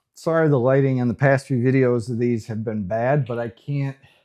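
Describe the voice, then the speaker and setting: A man talks at a fairly quick pace in a plain, everyday voice with ordinary pitch variation. The background is quiet. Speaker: woodworking YouTuber. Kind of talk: workshop tutorial vlog. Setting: home garage workshop.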